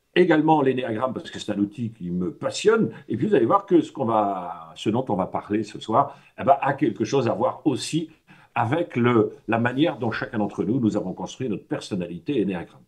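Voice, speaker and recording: Pitch rises and falls very widely while the delivery keeps a moderate tempo. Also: man, medium pitch for a man. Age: 60s. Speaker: personal development trainer. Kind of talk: talk to a workshop audience. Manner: hesitant, many fillers; casual, conversational.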